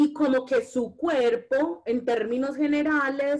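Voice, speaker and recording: In a Medellín accent, a woman speaks with lively intonation and a high pitch. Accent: Medellín (paisa) Colombian Spanish. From Colombia, Medellín. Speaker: feminist and anti-racist activist. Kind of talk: casual conversation.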